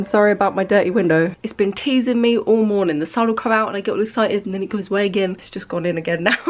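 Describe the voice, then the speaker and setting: A woman speaks at a medium pitch with an English accent. Her intonation is lively. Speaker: vlogger. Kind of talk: casual vlog talk. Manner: animated.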